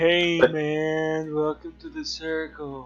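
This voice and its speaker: Using a put-on character voice, a man speaks at a very slow pace and a fairly high pitch. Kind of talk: casual, laid-back. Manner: mellow, drawn out.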